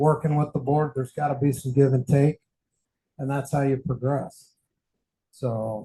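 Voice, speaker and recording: Somewhat breathy and dark, mellow in tone, a man's fairly high voice moves at a moderate pace with monotone, flat intonation and long, frequent pauses. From Mexican heritage. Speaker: candidate for association president. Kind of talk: meeting discussion. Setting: in-person meeting with audience.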